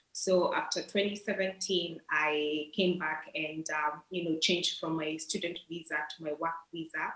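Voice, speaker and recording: Against noticeable background noise, a woman talks with fairly even intonation and hardly any pauses. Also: fairly low pitch for a woman, moderate pace. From Kenya. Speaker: nutritionist and scholarship alumna. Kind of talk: interview.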